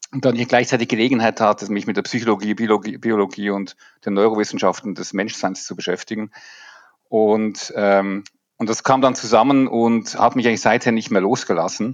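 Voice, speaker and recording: A man in an unremarkable speaking voice, fairly low-pitched, at a moderate pace with fairly even intonation against a quiet background. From Switzerland. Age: 50s. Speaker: leadership coach. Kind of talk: podcast interview.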